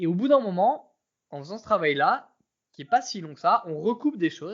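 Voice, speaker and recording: Lively intonation marks a man's speech. He keeps a moderate pace. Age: 30s. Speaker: former professional poker player. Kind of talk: casual interview chat.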